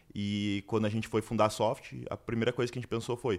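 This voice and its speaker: A man with a fairly low voice is captured on a very clean recording against a silent background. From Brazil, Curitiba. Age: 20s. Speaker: entrepreneur. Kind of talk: interview.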